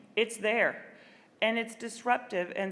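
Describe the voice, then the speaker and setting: A woman speaks with a Midwestern accent. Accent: American Midwest. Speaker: librarian. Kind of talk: keynote speech.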